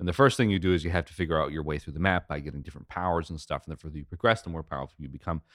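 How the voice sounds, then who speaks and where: Over a silent background on a very clean recording, a man talks very fast with hardly any pauses, his very deep, low voice showing vocal fry and ordinary pitch variation. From Quebec, Canada. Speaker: podcast co-host and game musician. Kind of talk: casual chat.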